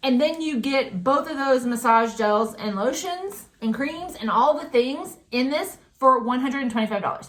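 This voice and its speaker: Her intonation is lively and her pitch high. The woman keeps a moderate pace. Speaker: beauty product sales rep. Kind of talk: sales pitch. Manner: casual.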